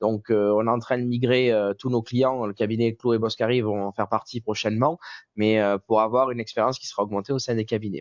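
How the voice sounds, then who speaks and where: A man talks at a fairly quick pace in a Marseille accent. His medium-pitched voice stays monotone, with flat intonation. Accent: southern French (Marseille). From southern France, Marseille. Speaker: software company representative. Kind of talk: webinar presentation.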